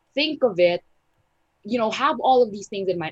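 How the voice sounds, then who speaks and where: Recorded dry and close with no echo, a woman speaks in a somewhat breathy voice. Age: 20s. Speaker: business owner. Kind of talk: casual chat.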